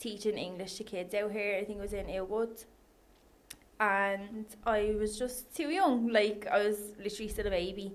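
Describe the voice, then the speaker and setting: A woman speaks at a moderate pace with a strong Irish accent and a medium pitch. Her intonation stays fairly even, and the room echo is audible. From Ireland, Dundalk. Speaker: online coach and personal trainer. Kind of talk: casual chat.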